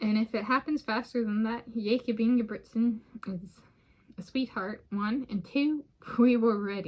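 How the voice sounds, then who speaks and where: Somewhat breathy, a woman speaks at a moderate pace and a fairly high pitch. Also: ordinary pitch variation. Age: 30s. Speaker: vlogger. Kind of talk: casual solo vlog monologue. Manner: rambling, halting with fillers.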